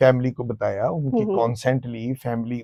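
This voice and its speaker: A man's medium-pitched voice has a dark, mellow tone, with a dry, close sound and no echo. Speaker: TV reporter. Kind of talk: interview answer.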